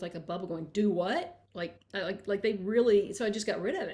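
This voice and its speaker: Here a woman talks with a strong Kentucky accent. Her pitch is medium and her pace fairly quick. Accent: thick Kentucky. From rural Kentucky. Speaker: author. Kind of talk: interview conversation.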